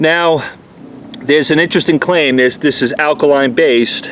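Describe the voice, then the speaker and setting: A man with a New York accent and a fairly high pitch talks over noticeable background noise. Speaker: auto detailer. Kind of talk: product review. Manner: fast.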